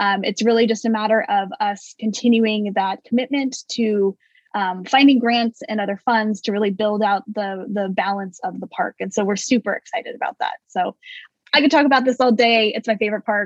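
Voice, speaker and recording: A woman's plain, everyday voice, fairly high-pitched with ordinary variation, at a moderate pace, dry and close with no echo. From California Central Valley. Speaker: city government manager. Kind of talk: interview.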